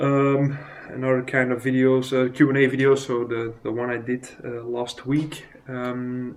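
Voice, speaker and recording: A man with a non-native accent speaks in a monotone, flat intonation. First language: not English. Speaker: miniature painting vlogger. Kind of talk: casual vlog. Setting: recorded on phone. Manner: halting, many fillers. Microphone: phone recording.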